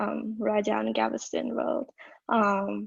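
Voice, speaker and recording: A woman speaks with a Vietnamese accent. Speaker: college student, storyteller. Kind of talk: casual self-introduction on video call. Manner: halting, many fillers.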